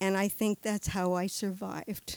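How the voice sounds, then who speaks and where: Recorded very cleanly against a silent background, a woman speaks at a fairly slow pace with a medium pitch. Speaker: storyteller. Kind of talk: storytelling. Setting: stage with audience. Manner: chatty; humorous.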